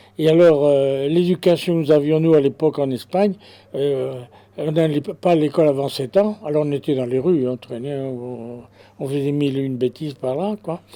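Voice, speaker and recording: At a moderate pace, a man speaks at a fairly high pitch with ordinary pitch variation. His tone is dark and mellow. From Spain, Basque Country (Bilbao), raised in France from age 7. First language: Spanish (speaking French). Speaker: witness of the Garabandal events. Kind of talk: testimony. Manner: halting, many hesitations and repetitions.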